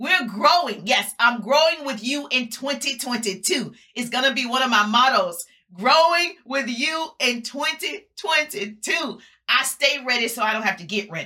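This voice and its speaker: Raising and projecting her voice, a woman with a high pitch and a bright, sharp, warm, upbeat tone speaks at a fairly slow pace with lively intonation. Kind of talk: motivational pep talk, live social-media rally. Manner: rousing, emphatic and fired-up, with punchy repeated slogans and call-and-response; warm, upbeat and preacher-like, addressing the audience as 'my people'.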